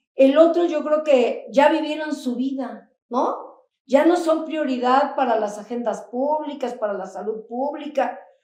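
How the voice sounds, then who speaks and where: A woman speaks at a fairly slow pace with a high pitch and ordinary pitch variation. Her tone is dark and mellow, and the room echo is audible. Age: 60s. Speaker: HIV activist. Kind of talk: panel discussion. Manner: animated.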